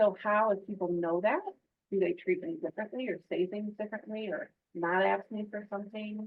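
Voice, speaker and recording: A woman with an American accent talks at a fairly quick pace in a medium pitch with ordinary pitch variation, an unremarkable speaking voice. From Michigan. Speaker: work-life wellness program director. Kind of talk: podcast interview.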